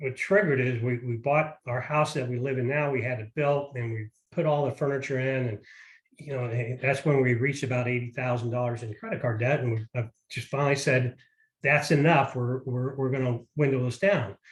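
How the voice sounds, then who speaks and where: Some breathiness runs through this voice. The speech comes fairly quickly, and the intonation stays fairly even. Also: man, medium pitch for a man. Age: 60s. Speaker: parent sharing money advice. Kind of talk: casual interview.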